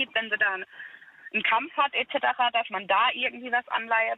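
A woman speaks in a plain, everyday voice with a fairly high pitch and fairly even intonation. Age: 30s. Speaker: caller. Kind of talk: phone-in conversation. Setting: phone call.

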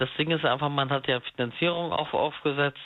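An ordinary speaking voice talks at a moderate speed. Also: man. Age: 30s. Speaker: caller. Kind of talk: phone-in call about being cheated on. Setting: phone call.

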